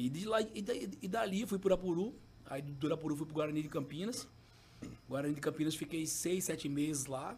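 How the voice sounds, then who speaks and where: Here is a man with a plain, everyday voice, fairly high in pitch. He talks at a moderate pace with lively intonation. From Cuiabá, Mato Grosso, Brazil. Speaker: former professional goalkeeper. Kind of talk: casual interview chat.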